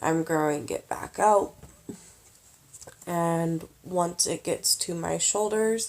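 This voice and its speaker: A woman at a very slow pace, with long, frequent pauses. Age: 20s. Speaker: vlogger. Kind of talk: casual vlog monologue. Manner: halting, long pauses.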